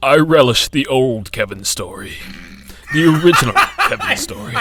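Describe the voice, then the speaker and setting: A man uses a put-on character voice with a fairly high pitch. He projects his raised voice at a moderate pace. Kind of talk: old-fashioned, dramatic. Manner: dramatic.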